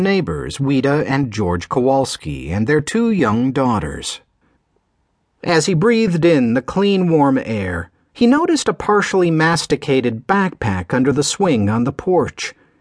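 A man speaks at a fairly slow pace and a fairly high pitch. His pitch swings very widely while his loudness stays very even. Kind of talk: audiobook narration. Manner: smooth, measured storytelling pace.

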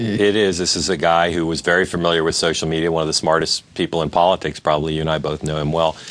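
A man's very deep, low voice at a very fast pace over noticeable background noise. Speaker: political journalist. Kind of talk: television interview.

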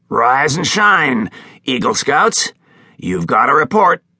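Putting on a raspy character voice, a man speaks at a fairly slow pace in a fairly high pitch with very wide pitch swings, the sound dry and close with no echo. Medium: read story. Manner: curt, offhand.

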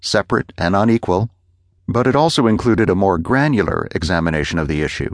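A man with a normal speaking voice talks fairly quickly at a fairly low pitch with lively intonation, the sound dry and close with no echo against a quiet background. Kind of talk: formal news reading of a magazine essay.

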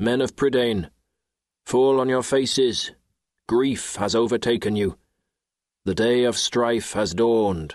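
A man's medium-pitched voice at a fairly slow pace, with ordinary pitch variation, long and frequent pauses, and a quiet background. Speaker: audiobook narrator. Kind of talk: audiobook narration of a funeral lament.

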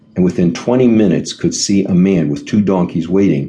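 Someone is reading aloud. The voice is a natural one.

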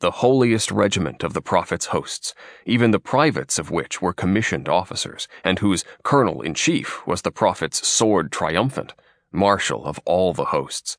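Against a quiet background, a man with a fairly low pitch and vocal fry speaks at a moderate pace, his pitch swinging very widely. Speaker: audiobook narrator. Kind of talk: literary audiobook reading, scripted narration. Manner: measured, steady, formal narration; earnest first-person storyteller voice.

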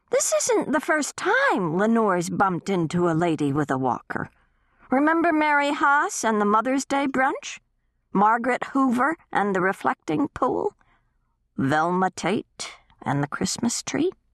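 A female-sounding put-on character voice, fairly high in pitch, at a moderate pace. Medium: read story. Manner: eager.

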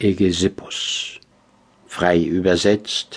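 A man speaks with fairly even intonation. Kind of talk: audiobook reading of classic literary prose. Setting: studio. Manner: measured, formal, reflective.

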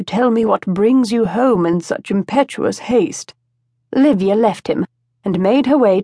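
A natural reading voice with ordinary pitch variation. The background is quiet.

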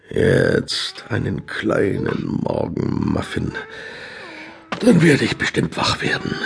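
A man puts on a character voice at medium pitch, speaking at a very slow pace against clear background noise. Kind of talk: children's audiobook acting. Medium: read story. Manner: sleepy, pompous, self-pitying.

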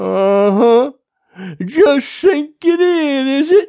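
Very slow and lively in intonation, the put-on character voice has a dark, mellow tone.

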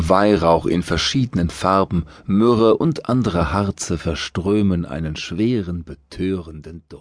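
Against a quiet background, a man with a very deep, low pitch talks at a very slow pace in a calm, soothing tone, with hardly any pauses and big swings in loudness. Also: ordinary pitch variation. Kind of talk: guided meditation. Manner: slow, calm, soothing.

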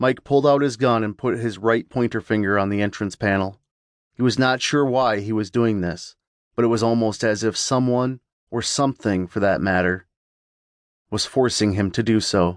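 A man with a normal speaking voice talks at a moderate pace and medium pitch with fairly even intonation, the background quiet and the sound dry and close with no echo. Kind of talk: dramatic horror audiobook narration. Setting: audiobook sample. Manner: suspenseful, hushed and menacing, with voices for characters.

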